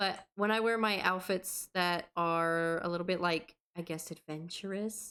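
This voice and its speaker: A woman speaks with a slight Southern US accent. The recording is very clean, with a silent background. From US South. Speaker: podcast co-host. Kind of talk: casual chat.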